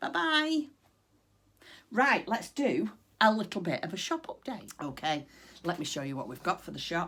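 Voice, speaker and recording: A woman's bright, sharp voice at a moderate pace, with very wide pitch swings. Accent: northern English. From northwest England. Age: 50s. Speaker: craft vlogger. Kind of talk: casual chat. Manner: chatty, frequent ums.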